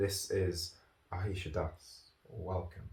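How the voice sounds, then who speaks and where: This man talks with a Manchester accent. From Manchester, northern England. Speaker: podcast host, yoga teacher and author. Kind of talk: casual podcast chat. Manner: rambling, filler-heavy.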